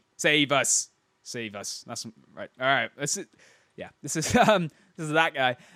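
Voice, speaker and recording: Recorded very cleanly against a silent background, a man speaks at a moderate pace and fairly high pitch with a dry, close sound and no echo. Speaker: gaming video host. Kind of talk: gameplay replay commentary. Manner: casual, with hesitations and stumbles.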